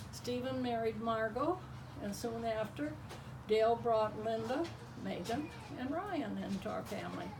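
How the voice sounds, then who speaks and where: In a room with audible echo and noticeable background noise, a woman speaks at a fairly slow pace with long, frequent pauses. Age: 80s+. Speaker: grandmother sharing life memories. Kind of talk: reading aloud a personal memoir to family.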